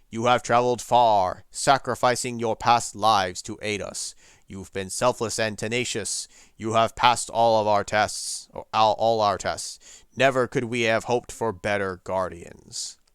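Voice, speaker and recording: A man puts on a booming character voice at a medium pitch. His pace is moderate. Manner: solemn, grand.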